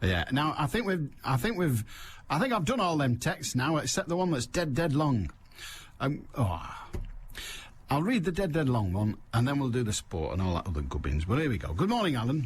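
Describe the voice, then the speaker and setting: A man with a Mancunian accent talks at a moderate pace with a fairly high pitch and a somewhat breathy voice. His pitch swings very widely while his loudness stays very even. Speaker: radio phone-in host. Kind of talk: radio phone-in chat. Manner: brisk, pushing callers along.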